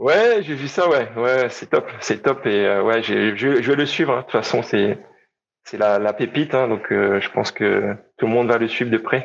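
Keeping a medium pitch with ordinary variation, the man talks at a moderate speed. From Réunion. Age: 30s. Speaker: personal trainer. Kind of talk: interview. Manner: halting.

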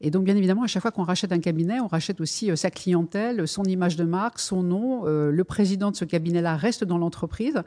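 The voice has a dark, mellow tone and races along at a very fast pace against a quiet background. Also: woman, medium pitch for a woman, ordinary pitch variation. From France. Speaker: purchasing director. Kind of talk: interview.

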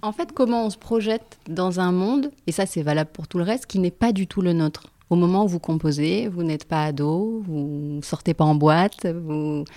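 A woman with an unremarkable speaking voice talks at a fairly low pitch with ordinary pitch variation. She keeps a moderate pace with hardly any pauses. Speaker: podcast host. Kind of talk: interview conversation.

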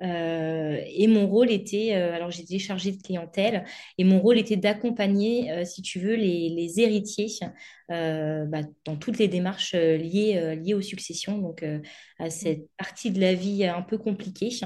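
Speaking fairly slowly, a woman uses a medium pitch and fairly even intonation in a dark, mellow tone. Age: 30s. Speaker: former bank employee turned entrepreneur. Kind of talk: interview.

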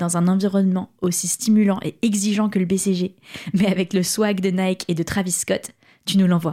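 Somewhat breathy and dark, mellow in tone, a woman speaks at a medium pitch with fairly even intonation on a very clean recording with a silent background. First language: French. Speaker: podcast host. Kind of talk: scripted intro and outro.

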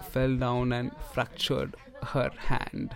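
Over noticeable background noise, a man speaks with a medium pitch. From India, Mumbai. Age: 20s. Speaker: doctor and writer. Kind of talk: casual interview conversation.

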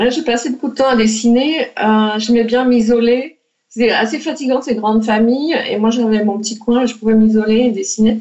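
A woman speaks at a moderate pace in a fairly high pitch, with fairly even intonation. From France. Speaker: children's author and illustrator. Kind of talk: interview. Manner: halting, many repetitions.

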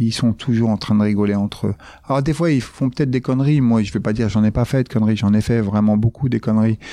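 Dark and mellow in tone, the voice runs at a very fast pace with very even loudness and fairly even intonation. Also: man, medium pitch for a man. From France, Paris suburbs (Grigny housing estates). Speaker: entrepreneur and former judoka. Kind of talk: interview. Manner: casual, hesitant with fillers.

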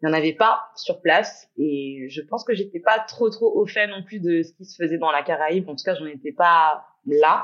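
A normal speaking voice from a woman, fairly low in pitch, at a moderate pace with lively intonation. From Guadeloupe. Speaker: entrepreneur. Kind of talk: casual chat.

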